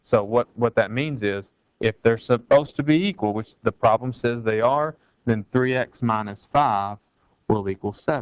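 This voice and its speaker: In a plain, everyday voice, a man talks at medium pitch and a moderate pace with ordinary pitch variation. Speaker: math teacher. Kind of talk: tutorial. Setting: recorded video lesson.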